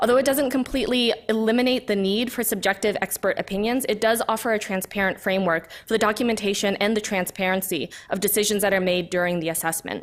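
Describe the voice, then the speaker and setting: Talking at a very fast pace with hardly any pauses, a woman keeps her loudness very even, her pitch medium and her pitch variation ordinary. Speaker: public commenter, environmental health scientist. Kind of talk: public comment to a committee.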